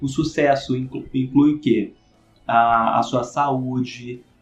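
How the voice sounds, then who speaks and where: A man is speaking. Music plays in the background. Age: 30s. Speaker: podcast host and business consultant. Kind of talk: casual interview chat.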